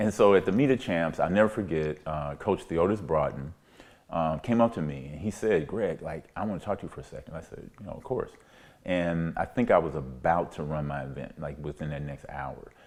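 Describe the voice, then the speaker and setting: A man with a very deep, low pitch and vocal fry speaks at a fairly quick pace. His intonation is lively, and his loudness swings widely. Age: 60s. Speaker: oral history interviewee. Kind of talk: interview.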